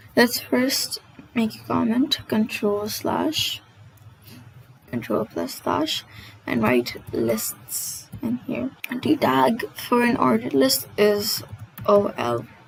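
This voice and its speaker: A woman speaks very slowly with long, frequent pauses and big swings in loudness against noticeable background noise. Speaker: coding tutorial host. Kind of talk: casual tutorial narration. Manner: stammers often.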